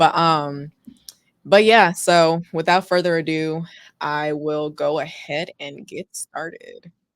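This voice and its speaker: A woman with an American accent speaks at a very slow pace, her loudness swinging widely, in a dry, close sound with no echo. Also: fairly low pitch for a woman, fairly even intonation. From Texas, Houston. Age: 20s. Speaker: personal finance content creator. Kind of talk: livestream presentation. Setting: livestream on camera. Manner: casual, with frequent fillers.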